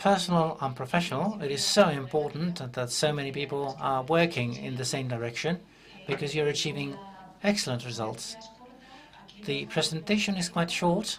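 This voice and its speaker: Here is a man with an ordinary speaking voice and a fairly high pitch. He keeps a moderate pace with ordinary pitch variation. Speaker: government official. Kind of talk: conference presentation.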